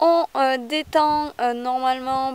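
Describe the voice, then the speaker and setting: At a very slow pace, a woman talks in a high voice with ordinary pitch variation. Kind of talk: casual vlog. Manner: hesitant with many fillers.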